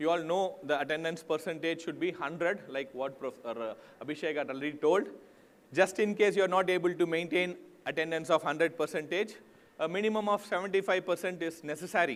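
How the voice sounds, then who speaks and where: This man has a high pitch, ordinary pitch variation and a fairly quick pace. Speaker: university staff member presenting at orientation. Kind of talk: instructional presentation.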